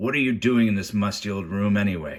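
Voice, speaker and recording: A man puts on a croaky character voice at a fairly low pitch. He talks at a fairly quick pace with ordinary pitch variation. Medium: read story. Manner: menacing.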